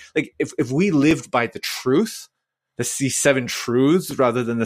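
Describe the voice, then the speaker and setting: A man with a Canadian accent and an ordinary speaking voice, medium pitch, lively intonation and a moderate pace, on a very clean recording with a silent background. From Vancouver, Canada. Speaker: church minister. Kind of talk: podcast interview.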